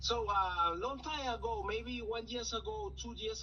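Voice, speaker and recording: Audible room echo surrounds a man talking at a very slow pace. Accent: non-native. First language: Spanish. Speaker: caller. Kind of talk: phone call-in conversation. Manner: halting.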